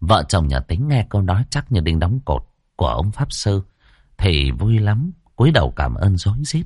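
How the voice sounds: It is a natural reading voice heard against a quiet background.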